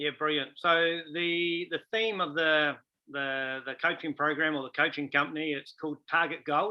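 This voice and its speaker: Fairly high in pitch, a man with a New Zealand accent speaks with fairly even intonation. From New Zealand, Taranaki. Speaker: rugby coach. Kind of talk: interview.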